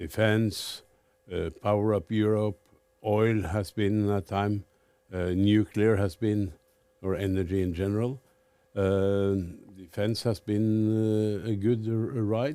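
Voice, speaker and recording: In a Norwegian accent, a man with a dark, mellow tone speaks at a very slow pace, with long, frequent pauses and fairly even intonation. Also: fairly low pitch for a man. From Norway. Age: 70s. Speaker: fund manager. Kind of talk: interview.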